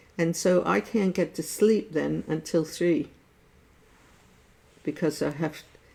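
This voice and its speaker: Very slowly and with long, frequent pauses, a woman with an American accent speaks at a fairly low pitch in a dark, mellow tone, with ordinary pitch variation and vocal fry. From USA. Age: 70s. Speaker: artist sharing life stories. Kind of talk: casual chat. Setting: Facebook live stream.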